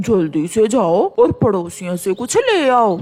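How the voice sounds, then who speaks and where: This is a cartoonish character voice at a moderate pace. Faint music plays in the background. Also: man, high pitch for a man. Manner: laughing, greedy.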